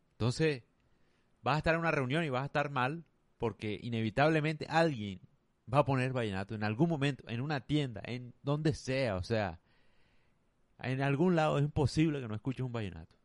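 A man talks at a fairly quick pace and medium pitch, with ordinary pitch variation. Long, frequent pauses break it up against a quiet background. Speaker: podcaster. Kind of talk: monologue. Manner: casual.

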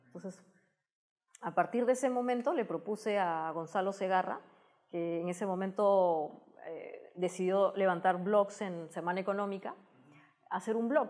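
Fairly slow speech with long, frequent pauses over a quiet background. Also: woman, medium pitch for a woman, ordinary pitch variation. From Peru. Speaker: technology communicator and TV host; guest. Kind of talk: interview. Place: studio. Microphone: lapel.

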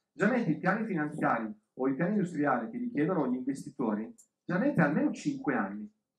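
Talking very fast at a fairly high pitch, a man makes very wide pitch swings. His voice carries audible room echo over a quiet background. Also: hardly any pauses. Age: 40s. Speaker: business coach; speaker. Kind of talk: lecture. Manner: halting. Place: hall.

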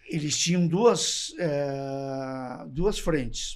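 A man with a fairly high voice and ordinary pitch variation talks against a quiet background. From Gramado, Rio Grande do Sul, Brazil; Rio Grande do Sul, Brazil. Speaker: former municipal official; podcast guest. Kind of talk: casual chat. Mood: calm, reminiscing. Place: studio. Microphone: studio mic.

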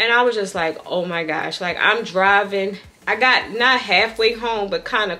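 Ordinary pitch variation at a moderate pace. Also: woman. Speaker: vlogger. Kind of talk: casual vlog chat. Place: home room.

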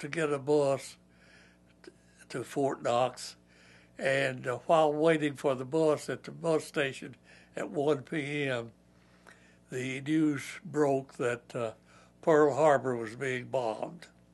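The speaker has a Kentucky accent and a very slow pace. Long, frequent pauses break up the fairly even intonation. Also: man. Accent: Southern US (Kentucky). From Kentucky, USA. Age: 80s+. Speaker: war veteran. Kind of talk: interview answer. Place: home room.

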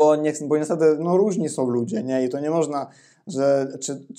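A man with a dark, mellow tone speaks at a moderate pace with ordinary pitch variation. The background is quiet. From Ukraine. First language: Ukrainian (speaking Polish). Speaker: Polish language teacher. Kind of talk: interview. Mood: relaxed, casual. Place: home room. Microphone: lapel.

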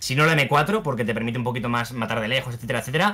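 A man rattles along at a very fast pace with lively intonation. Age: 20s. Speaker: youtuber and content creator; guest. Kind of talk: interview. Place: home room.

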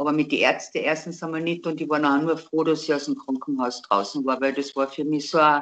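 A woman with a Carinthian accent speaks at a very deep, low pitch with fairly even intonation. Her pace is fairly quick, with hardly any pauses. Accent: Carinthian Austrian dialect. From Austria. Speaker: interviewee telling a personal story. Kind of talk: interview answer. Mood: calm, reflective. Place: home room. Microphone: video call.

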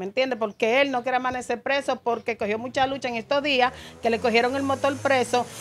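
A woman speaks in a high pitch. She has a Dominican accent. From Dominican Republic. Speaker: mother of detained man. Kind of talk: interview testimony. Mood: upset, complaining. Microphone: handheld.

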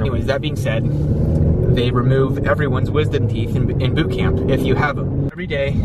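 A man talking at a fairly quick pace, dry sound with no echo, loud background noise. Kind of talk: casual vlog chat. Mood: calm, storytelling. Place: car. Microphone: phone near.

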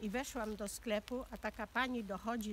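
A woman's slightly creaky voice with vocal fry, fairly even intonation and a fairly slow pace, dry with no echo over light background noise. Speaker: witness. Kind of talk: interview answer. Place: forest.

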